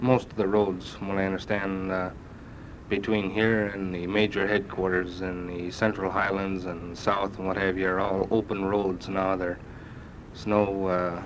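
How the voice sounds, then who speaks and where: A man's very deep, low voice at a fairly slow pace, in an American accent with monotone, flat intonation. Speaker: US Army sergeant first class serving in Vietnam. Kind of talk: spoken letter to family on cassette. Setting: old cassette recording. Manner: casual, hesitant.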